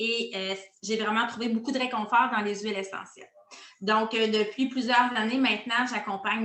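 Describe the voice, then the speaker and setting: Noticeable background noise behind a woman's fairly high, monotone, flat voice at a moderate pace. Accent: Quebec. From Quebec. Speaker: essential oils coach. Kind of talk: interview. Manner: hesitant, many filler sounds.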